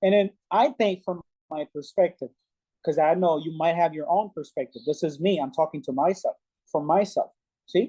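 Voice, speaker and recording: A Haitian accent carries this voice at a moderate pace. The background is quiet. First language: Haitian Creole. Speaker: English learner. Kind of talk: conversation practice. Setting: video call.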